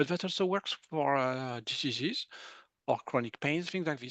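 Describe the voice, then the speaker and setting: At a fairly quick pace, a man with a French accent speaks in a fairly high pitch and a bright, sharp tone, the sound dry and close with no echo against a quiet background. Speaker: medical intuitive. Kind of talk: interview.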